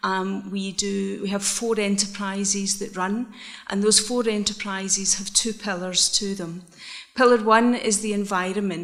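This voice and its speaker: In a Scottish accent, a woman speaks at a moderate pace with fairly even intonation. Noticeable background noise and audible room echo surround her. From Scotland, Isle of Bute. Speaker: social enterprise manager. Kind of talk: conference presentation. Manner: hesitant, many fillers.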